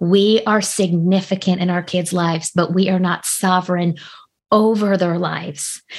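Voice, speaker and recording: Over a quiet background, a normal speaking voice moves at a fairly slow pace with fairly even intonation. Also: woman. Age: 40s. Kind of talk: interview conversation.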